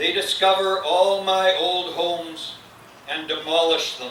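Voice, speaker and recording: Over noticeable background noise and audible room echo, a man talks very slowly with monotone, flat intonation. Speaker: poet. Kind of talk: poetry reading. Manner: quiet. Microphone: too quiet, mic too low.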